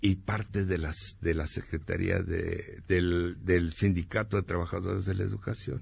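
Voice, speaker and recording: The man's voice comes across somewhat breathy, and the background is quiet. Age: 70s. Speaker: former student activist and journalist. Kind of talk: radio interview.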